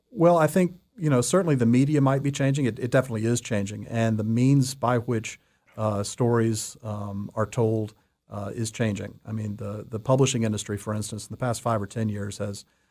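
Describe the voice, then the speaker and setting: On a very clean recording with a silent background, a man speaks fairly quickly at medium pitch with ordinary pitch variation. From Atlanta, Georgia, US South. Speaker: fiction writer. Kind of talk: radio interview. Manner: hesitant, many fillers.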